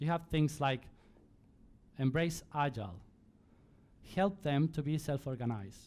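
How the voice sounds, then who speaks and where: In a very clean recording with a silent background, a man with a fairly high voice and a Spanish accent speaks at a fairly slow pace, taking long, frequent pauses, with ordinary pitch variation and very even loudness. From Spain. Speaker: conference speaker. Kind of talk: conference talk. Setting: stage with audience.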